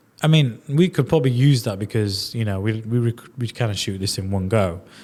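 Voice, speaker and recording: This man has a strong Leeds accent and a fairly low pitch. He speaks at a fairly quick pace. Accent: strong Yorkshire Leeds. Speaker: podcast host. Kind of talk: podcast interview.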